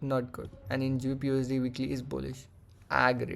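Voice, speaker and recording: In a Marathi accent, a man talks with a monotone, flat intonation. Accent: Indian English, Marathi. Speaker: forex trader. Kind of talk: trading tutorial; casual chat. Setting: screen-shared recording. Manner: halting.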